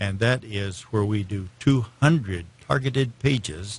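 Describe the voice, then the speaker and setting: A man talks at a fairly low pitch with ordinary pitch variation. His voice sounds somewhat breathy. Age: 70s. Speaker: search engine marketing salesman. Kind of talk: interview. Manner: halting, many fillers.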